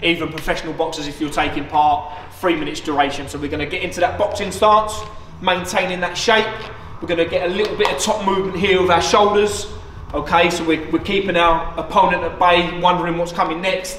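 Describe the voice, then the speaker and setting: There's light background noise and audible room echo. A man with a high pitch talks at a very fast pace, his intonation fairly even. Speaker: boxing coach. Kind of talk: fitness tutorial. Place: gym. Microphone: camera far.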